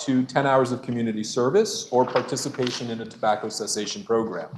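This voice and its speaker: Noticeable background noise sits behind a man speaking at a fairly quick pace. His pitch is medium and varies in an ordinary way. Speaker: state senator. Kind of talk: legislative floor report. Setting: senate chamber. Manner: fast.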